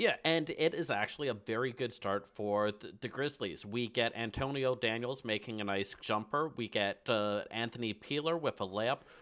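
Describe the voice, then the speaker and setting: A man with an ordinary speaking voice, medium pitch, ordinary pitch variation, a moderate pace and hardly any pauses. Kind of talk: casual analytical game recap, narrating play in present tense like a relaxed commentator. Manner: conversational and wry, steady pace, analytical, with occasional stumbles.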